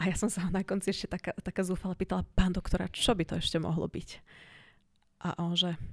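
A woman talks at a very fast pace with a medium pitch and a somewhat breathy voice, her intonation monotone and flat. The recording is very clean with a silent background and a dry, close sound with no echo. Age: 40s. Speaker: cancer survivor. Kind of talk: interview.

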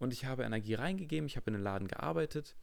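A man's medium-pitched voice with vocal fry. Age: 20s. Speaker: podcast host, fitness studio manager. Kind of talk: casual chat.

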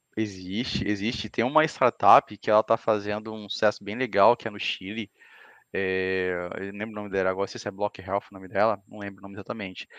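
In a quiet setting, a man with a fairly low voice speaks fairly quickly in a flat monotone. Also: dry, close sound with no echo. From Salvador, Bahia, Brazil. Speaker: cloud engineer. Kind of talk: casual chat.

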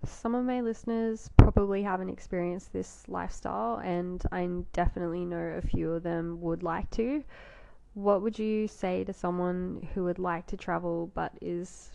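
A woman speaks at a moderate pace with an Australian accent, her pitch fairly low with ordinary variation. Her loudness swings widely. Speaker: podcast host. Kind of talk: interview and podcast narration.

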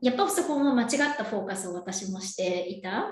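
Lively intonation marks a woman talking at a moderate pace. Noticeable background noise and audible room echo surround her voice. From Japan, Yokohama. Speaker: entrepreneur and coach. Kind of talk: casual interview.

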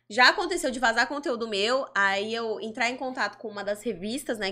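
The tone is bright and sharp at a moderate pace, with ordinary pitch variation on a very clean recording with a silent background. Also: woman. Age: 20s. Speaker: adult content creator. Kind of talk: interview.

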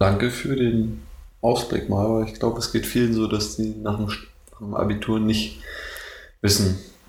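With audible room echo, a man talks at a fairly slow pace in a fairly low voice, keeping his intonation fairly even and leaving long, frequent pauses. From Brandenburg, Germany (Neuruppin). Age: 20s. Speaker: university student. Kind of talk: casual chat.

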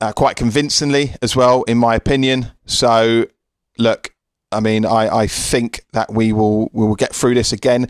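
The delivery comes at a moderate pace with a British accent and monotone, flat intonation. The sound is dry and close, with no echo. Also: man. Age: 30s. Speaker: sports podcast host. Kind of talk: solo podcast monologue. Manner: halting.

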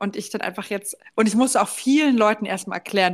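Her pitch is fairly high, and she is a woman with an unremarkable speaking voice and ordinary pitch variation. The recording is very clean and the background silent. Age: 20s. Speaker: podcast co-host. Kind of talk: casual chat.

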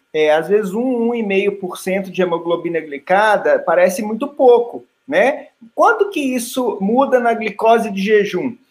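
A man speaks at a fairly slow pace in a high pitch with lively intonation. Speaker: ophthalmologist. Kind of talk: expert panel talk on video call. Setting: video call.

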